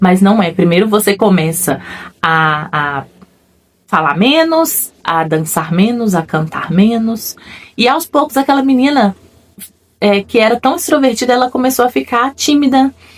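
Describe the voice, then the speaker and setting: A woman talks fairly slowly, her pitch rising and falling very widely. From Brazil, another state than where she lives. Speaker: faith-based personal development vlogger. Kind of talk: personal testimony. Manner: reflective, conversational.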